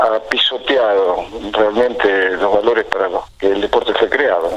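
A man talks at a fairly slow pace while noticeable background noise plays behind him. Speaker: fitness coach. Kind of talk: interview.

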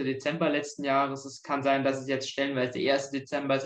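A man with a fairly high pitch at a fairly quick pace. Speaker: history student. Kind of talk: casual interview.

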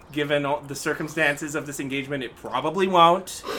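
Fairly high-pitched male voice against noticeable background noise. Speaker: guest, illustrator and voice impressionist. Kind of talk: casual interview.

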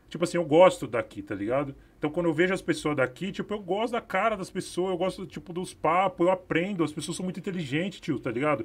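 A high-voiced man at a very fast pace, on a very clean recording with a silent background. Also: ordinary pitch variation. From São Paulo, Capão Redondo. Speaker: filmmaker. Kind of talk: panel discussion. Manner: casual slang-heavy.

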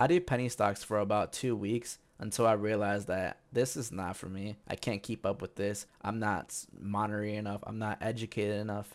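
In a very clean recording with a silent background, a man with a normal speaking voice and a fairly low pitch talks at a fairly quick pace with fairly even intonation. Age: 20s. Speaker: podcast host. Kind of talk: solo monologue on personal investing. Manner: casual, conversational with fillers.

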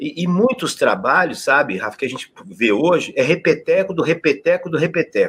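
A man's voice, high in pitch. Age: 70s. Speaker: physical education professor. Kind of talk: interview.

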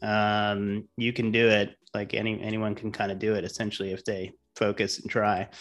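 Against a quiet background, a man with a fairly low pitch speaks at a moderate pace in a flat monotone, with hardly any pauses. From Rhode Island, New England. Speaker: financial consultant and business owner. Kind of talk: casual interview. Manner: casual, many filler words.

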